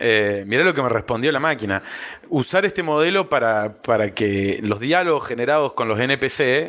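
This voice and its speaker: In a normal speaking voice, a man holds a medium pitch at a moderate pace. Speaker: policy analyst. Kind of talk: podcast guest conversation.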